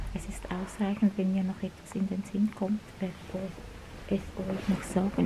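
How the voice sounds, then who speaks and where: A woman speaks softly at medium pitch. Noticeable background noise runs behind her. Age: 50s. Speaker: video blogger. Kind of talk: vlog monologue. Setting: public library. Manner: soft-spoken. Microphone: phone near.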